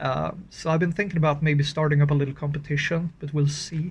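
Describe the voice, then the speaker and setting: Somewhat breathy and fairly high-pitched, a man speaks at a fairly quick pace in a monotone, flat intonation with a Swedish accent. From Scandinavia. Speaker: horror story writer and channel owner. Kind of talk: casual update video. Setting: outdoors in freezing cold. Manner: halting, with fillers.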